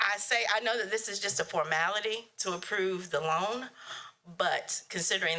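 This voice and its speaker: A woman with a North Carolina accent, at a moderate pace and with ordinary pitch variation. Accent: North Carolina Southern US. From US South. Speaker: public commenter. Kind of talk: public comment at meeting. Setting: county board meeting.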